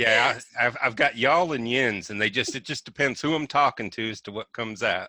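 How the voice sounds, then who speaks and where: In a very clean, dry, close recording with no echo and a silent background, a man with a Southern accent speaks at a moderate pace and medium pitch, with ordinary pitch variation and a bright, sharp tone. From Roanoke, Virginia. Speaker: web developer. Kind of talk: casual interview.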